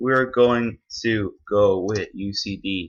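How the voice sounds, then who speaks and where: A man with an Irish accent speaks in a fairly low, bright, sharp voice with fairly even intonation. The background is quiet. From Ireland. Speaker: gaming youtuber. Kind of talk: gameplay commentary. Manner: casual, halting with fillers.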